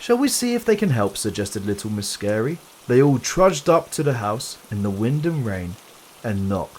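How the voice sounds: A natural reading voice delivers the lines.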